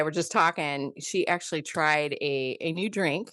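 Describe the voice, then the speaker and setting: Against a quiet background, a woman with a Midwestern accent talks at a fairly slow pace. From US Midwest. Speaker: podcast co-host. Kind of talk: casual chat. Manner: halting, many fillers.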